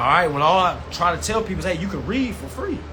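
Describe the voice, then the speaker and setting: A man talks very fast in a high pitch and an animated tone, with audible room echo and noticeable background noise. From US South. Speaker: consumer rights educator. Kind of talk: live-stream class. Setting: live stream.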